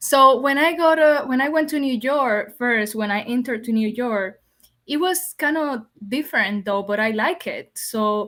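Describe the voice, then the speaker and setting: A high-pitched woman with a Spanish accent, lively intonation and a moderate pace. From Dominican Republic. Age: young. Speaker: podcast guest. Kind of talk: interview conversation.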